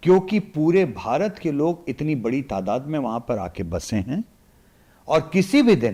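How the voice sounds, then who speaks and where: A man talks in a fairly high voice with vocal fry and very wide pitch swings. The recording is very clean, with a silent background. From India, Varanasi (Uttar Pradesh). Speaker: political analyst. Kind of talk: podcast interview. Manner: animated.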